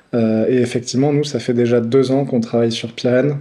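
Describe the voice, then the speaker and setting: A man's medium-pitched voice moves at a moderate pace, its intonation flat and monotone. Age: 30s. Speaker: nutrition brand founder. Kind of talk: casual interview. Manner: hesitant, many fillers.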